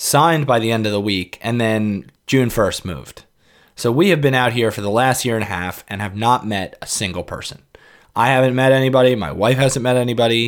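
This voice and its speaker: Recorded very cleanly against a silent background, a man with a New York accent speaks at a fairly quick pace in a medium pitch with ordinary pitch variation. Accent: New York area American. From New York City suburbs, US. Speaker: podcast host. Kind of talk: casual monologue.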